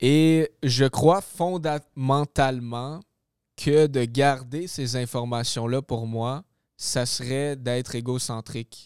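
At a very slow pace, a man with a Quebec accent and a medium pitch talks with fairly even intonation, the sound dry and close with no echo on a very clean recording with a silent background. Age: 20s. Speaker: real estate investor and trainer. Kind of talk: casual interview.

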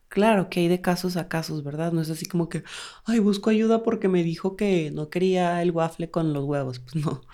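With a strong Durango accent, a woman speaks at a moderate pace. Her pitch is fairly low and her tone dark and mellow. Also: ordinary pitch variation. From Mexico, Durango. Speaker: podcast co-host. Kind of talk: casual chat.

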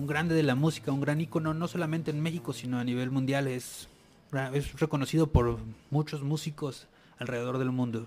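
At a fairly quick pace, a man uses a normal speaking voice with a fairly high pitch and fairly even intonation. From Tijuana, Mexico. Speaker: TV and radio producer. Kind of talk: casual chat. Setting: radio studio.

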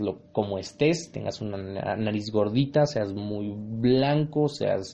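Speaking with a Mexican accent, a man uses lively intonation and a dark, mellow tone at a medium pitch. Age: 20s. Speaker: podcast host. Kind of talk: casual monologue. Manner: animated.

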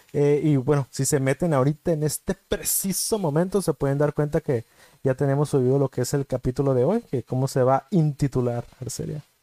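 A man speaks at a fairly quick pace in a dark, mellow tone. The sound is dry and close, with no echo. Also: fairly high pitch for a man, ordinary pitch variation. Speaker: podcast co-host. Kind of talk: casual chat.

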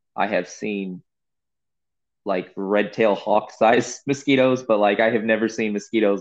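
A normal speaking voice from a man, moderate in pace and fairly low-pitched. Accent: American. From California high desert, then Missouri. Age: 30s. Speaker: podcast host and farmer. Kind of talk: casual chat.

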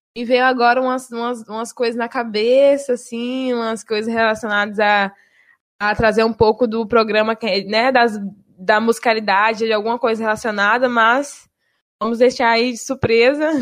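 A woman with a Bahian accent, fairly high pitch, monotone, flat intonation and a moderate pace. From Bahia, Brazil. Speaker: university radio presenter. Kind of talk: casual chat.

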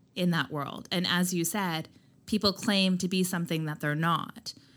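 A woman with a plain, everyday voice speaks at a moderate pace with a fairly low pitch and fairly even intonation, on a very clean recording with a silent background. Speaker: skincare brand founder. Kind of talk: casual interview chat.

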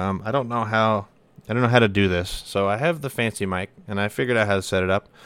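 Recorded very cleanly against a silent background, a man with a fairly low pitch speaks at a fairly quick pace with ordinary pitch variation. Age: 20s. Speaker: firefighter podcaster. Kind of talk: casual solo monologue. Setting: home desk setup. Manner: casual, rambling with fillers.

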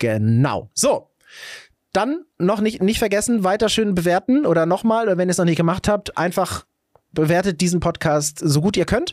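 A man with a high-pitched voice speaks at a moderate pace with lively intonation and very even loudness, recorded dry and close with no echo against a silent background on a very clean recording. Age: 40s. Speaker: podcast host, father. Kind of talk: casual chat. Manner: animated.

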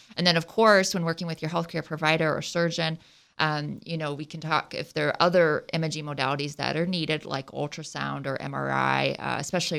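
A woman with a slight Ohio accent talks at a fairly quick pace in a very clean recording with a silent background. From southwest Ohio. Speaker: surgeon. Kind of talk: radio interview. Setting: radio studio.

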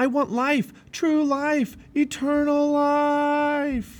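This put-on character voice moves at a very slow pace. There is little pitch movement throughout. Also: man, extremely high pitch for a man.

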